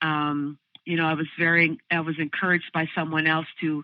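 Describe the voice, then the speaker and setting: The woman's voice sits very deep and low in pitch. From Southern California. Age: 60s. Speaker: musician and vocal/bass teacher. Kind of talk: interview conversation. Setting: podcast recording. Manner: halting, many fillers.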